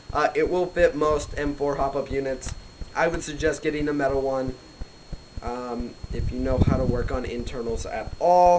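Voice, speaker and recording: The intonation stays fairly even at a moderate pace. Background noise is noticeable. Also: man, fairly high pitch for a man. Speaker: airsoft reviewer. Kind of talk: product review. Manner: hesitant, many fillers; casual.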